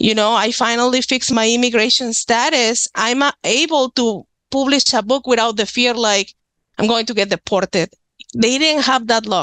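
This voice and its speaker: A woman with a strong Mexican accent speaks at a moderate pace and a fairly high pitch, in a bright, sharp tone. Her loudness is very even, her intonation fairly even, and the sound dry and close with no echo. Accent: thick Mexican Spanish. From Mexico, Nuevo León. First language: Spanish. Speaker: author and witchcraft practitioner. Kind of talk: podcast interview.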